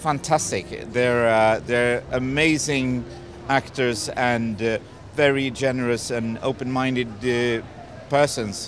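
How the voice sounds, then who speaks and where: Amid noticeable background noise, a man with a Swedish accent speaks at a medium pitch and a very slow pace. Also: fairly even intonation. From Sweden. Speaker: film director. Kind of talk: red carpet interview. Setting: red carpet premiere. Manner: halting.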